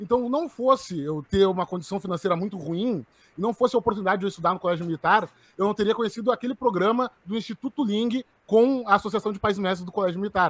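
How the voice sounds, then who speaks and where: Speaking at a very fast pace, a man with a high pitch and ordinary pitch variation is heard in a dry, close recording with no echo. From southern Brazil, Porto Alegre. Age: 20s. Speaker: head of a libertarian student organization. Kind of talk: interview.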